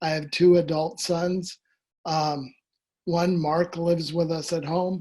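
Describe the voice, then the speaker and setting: A man speaks at a fairly slow pace with a high pitch. His intonation is monotone and flat, against a quiet background. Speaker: person living with ALS. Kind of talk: testimony. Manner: halting, slurred speech from ALS.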